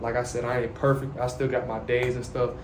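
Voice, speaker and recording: A man with a medium-pitched voice is heard through audible room echo and noticeable background noise. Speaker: YouTuber sharing faith and life. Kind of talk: casual monologue to camera. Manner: soft-spoken.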